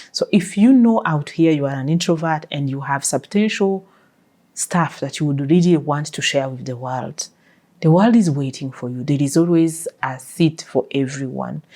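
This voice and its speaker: In a non-native accent, the speaker uses a dark, mellow tone at a moderate pace with ordinary pitch variation. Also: woman, very deep, low pitch for a woman. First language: not English. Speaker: life coach, podcast host. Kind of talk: interview answers.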